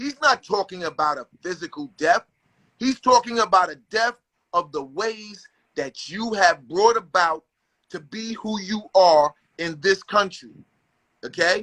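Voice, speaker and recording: In a dry, close sound with no echo, a raised, projected voice with a bright, sharp, animated tone and lively intonation moves at a fairly slow pace, with big swings in loudness and long, frequent pauses. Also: man, high pitch for a man. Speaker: guest on hip-hop talk show. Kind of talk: casual chat.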